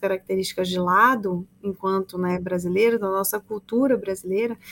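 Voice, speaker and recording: A woman talks at a moderate pace with ordinary pitch variation in an ordinary speaking voice. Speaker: podcast host. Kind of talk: interview.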